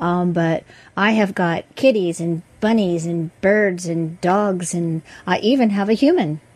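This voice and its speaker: This is an unremarkable speaking voice at a fairly slow pace. Its pitch variation is ordinary. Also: woman, medium pitch for a woman. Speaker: dog trainer and co-host. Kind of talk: casual chat.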